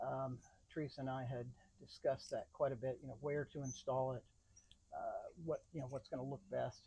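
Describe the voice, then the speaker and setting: Somewhat breathy, a man talks at a moderate pace and a fairly high pitch. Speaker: van owner doing DIY install. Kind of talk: DIY tutorial vlog. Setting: outdoors by the van. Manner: halting, many fillers.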